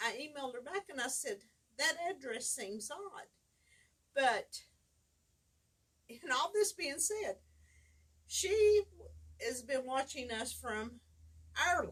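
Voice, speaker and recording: Loud and very slow, a woman speaks at a high pitch with very wide pitch swings and long, frequent pauses. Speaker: fabric store owner hosting weekly live show. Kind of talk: casual chat. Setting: livestream video.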